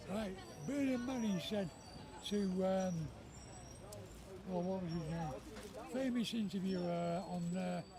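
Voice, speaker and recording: With noticeable background noise and audible room echo, a man with a high pitch talks at a fairly slow pace, leaving long, frequent pauses. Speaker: member of the public. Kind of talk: casual chat.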